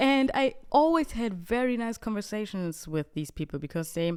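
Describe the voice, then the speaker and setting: Fairly slow, lively speech from a woman with a German accent, on a very clean recording with a silent background. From Bavaria, Germany. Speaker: podcast host and comedy content creator. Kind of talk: casual solo podcast monologue. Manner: animated.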